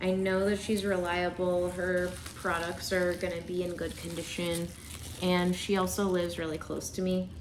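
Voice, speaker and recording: With noticeable background noise and audible room echo, a woman speaks at a moderate pace in a fairly low, monotone, flat voice. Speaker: unboxing YouTuber. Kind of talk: casual vlog unboxing. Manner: loud.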